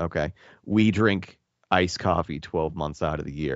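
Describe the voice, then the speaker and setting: A raspy, put-on character voice in a Boston accent, lively in intonation and at a moderate pace. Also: man. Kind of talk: casual conversation.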